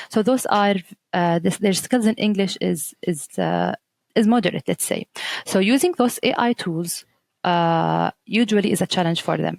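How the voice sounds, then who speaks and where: In an Arabic accent, a woman speaks at a moderate pace in a dry, close sound with no echo. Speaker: teacher trainer. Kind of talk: podcast interview. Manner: halting, many fillers and restarts.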